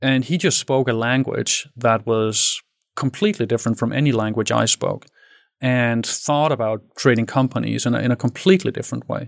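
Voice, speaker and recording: A man speaks at a fairly quick pace with a Danish accent. The recording is very clean, with a silent background. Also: medium pitch for a man, ordinary pitch variation. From Denmark. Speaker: tech entrepreneur. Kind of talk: interview.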